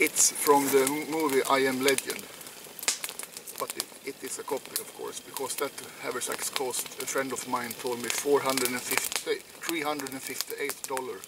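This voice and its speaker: Loudness swings widely as a man with a Swedish accent talks at a moderate pace over noticeable background noise. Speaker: outdoor vlogger. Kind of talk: casual vlog talk. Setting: outdoors. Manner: halting.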